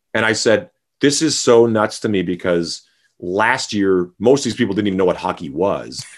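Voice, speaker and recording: Someone with a Canadian accent and an unremarkable speaking voice speaks at a moderate pace with lively intonation over a quiet background. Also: man, fairly low pitch for a man. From Saskatchewan, Canada. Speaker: rock bassist. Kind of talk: interview.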